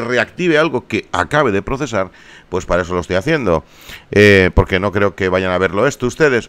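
His pitch moves through very wide swings. The man keeps to a moderate pace. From Barcelona, Spain. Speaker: YouTuber, gaming streamer. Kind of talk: casual vlog appeal to viewers.

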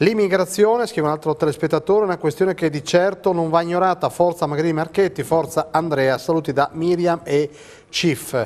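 A man at a high pitch and a fairly quick pace. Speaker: TV station director; TV show host. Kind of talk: talk show hosting. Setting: studio. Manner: halting. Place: studio. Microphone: lapel.

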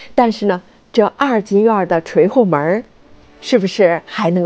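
Lively intonation runs through an ordinary speaking voice. The pace is fairly slow. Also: woman. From Beijing. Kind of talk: travel vlog voice-over narration.

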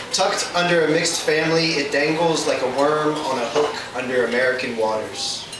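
In a room with audible echo and noticeable background noise, a man talks at a moderate pace. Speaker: slam poet. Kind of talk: spoken word poetry performance. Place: stage. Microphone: camera far.

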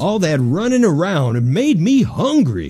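In a cartoonish character voice, a man speaks at a fairly slow pace with a high pitch, very wide pitch swings and light background noise. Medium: puppet show. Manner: slow, good-natured, a bit dim.

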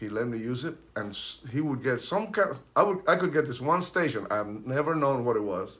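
A man speaks at a fairly quick pace with a Spanish accent. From Cuba, Santiago de Cuba; raised in Hollywood from teens; Cuba. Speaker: percussionist; guest. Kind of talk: casual chat. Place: home room. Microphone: camera far.

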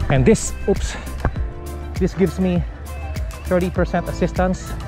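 Clear music plays in the background as the speaker moves at a very slow pace, with a dry sound and no echo. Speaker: vlogger cyclist. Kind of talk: casual vlog chat. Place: bicycle.

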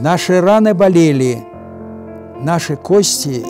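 A man talks very slowly. Music can be heard behind him. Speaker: WWII veteran, retired lieutenant colonel. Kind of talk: poetry reading.

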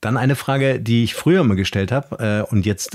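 A man with a normal speaking voice talks at a medium pitch, his pitch varying in the ordinary way, in a dry, close sound with no echo. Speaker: podcast host. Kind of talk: casual interview. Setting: video call.

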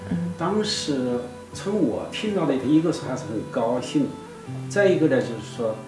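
Clear music plays behind a man who speaks at a fairly slow pace with very wide pitch swings. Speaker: interview guest, the professor's husband. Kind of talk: interview answer. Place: studio.

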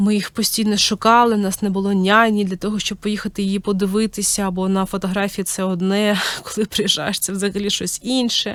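A woman delivers monotone, flat speech at a moderate pace and medium pitch with hardly any pauses, on a very clean recording with a silent background. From Ukraine. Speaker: podcast host, mother of three. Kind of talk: personal storytelling monologue. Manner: casual, with many filler words.

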